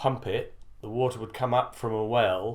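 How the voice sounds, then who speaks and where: In a British accent, a man talks at a moderate pace with a medium pitch and a monotone, flat intonation. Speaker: former army officer. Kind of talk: interview answer.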